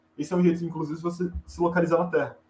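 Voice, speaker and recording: A man is speaking. His voice sits high in pitch. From Brazil, Goiás (Goiânia). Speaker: astronomy student and astrophotographer. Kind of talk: explanatory interview chat.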